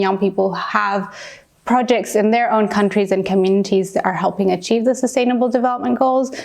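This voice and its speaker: A woman speaks at a fairly quick pace with a medium pitch. Noticeable background noise runs under her voice. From Peru. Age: 20s. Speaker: youth activist. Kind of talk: interview monologue.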